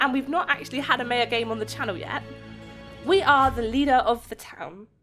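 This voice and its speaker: Music can be heard behind the voice. The talking goes at a fairly quick pace. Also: woman. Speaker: gaming YouTuber. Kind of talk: gameplay commentary.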